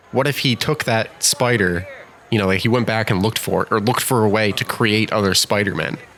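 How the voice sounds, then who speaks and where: Speaking at a very fast pace with very even loudness, a man with an American accent uses a fairly low pitch amid noticeable background noise. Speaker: gaming YouTuber. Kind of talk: let's play commentary. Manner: animated.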